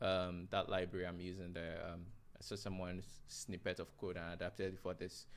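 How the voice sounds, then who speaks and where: A man mumbles at a fairly quick pace. His very deep, low voice stays monotone and flat. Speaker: software developer live-streaming. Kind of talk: live coding stream. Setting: live stream. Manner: mumbling; halting.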